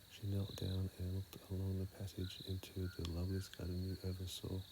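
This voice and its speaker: Over noticeable background noise, a man speaks in a calm tone at a very deep, low pitch. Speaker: ASMR reader / sleep content creator. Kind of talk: sleep story reading. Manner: soft, calm, slow.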